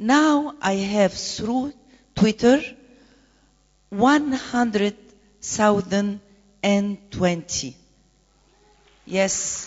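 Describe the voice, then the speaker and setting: The delivery is very slow, with long, frequent pauses. The intonation is lively. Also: woman, medium pitch for a woman. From Egypt. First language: Arabic. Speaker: conference panelist, presidential candidate. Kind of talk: conference panel talk. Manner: halting.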